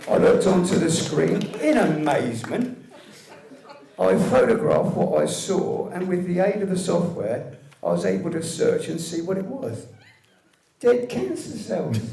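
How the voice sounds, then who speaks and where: With a British accent, the speaker goes at a fairly slow pace over noticeable background noise. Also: man. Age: 60s. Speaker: medical cannabis patient campaigner. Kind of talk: scripted public speech.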